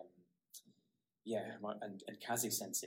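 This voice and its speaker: A man with a northeast Scottish accent speaks at a moderate pace in a fairly low pitch. His intonation is monotone and flat. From Scotland, Aberdeen (northeast). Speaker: karate practitioner and blogger. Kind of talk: interview conversation.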